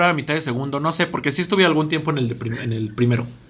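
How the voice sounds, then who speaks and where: A man talks at a very fast pace, with noticeable background noise and audible room echo. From Estado de México. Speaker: podcast co-host. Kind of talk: casual chat. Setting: studio.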